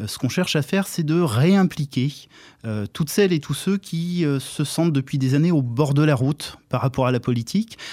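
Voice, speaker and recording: Over a silent background in a very clean recording, a man with a fairly high pitch and a dark, mellow tone speaks at a moderate pace with ordinary pitch variation. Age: 50s. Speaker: local election candidate. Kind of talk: radio interview. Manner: hesitant, many filler sounds.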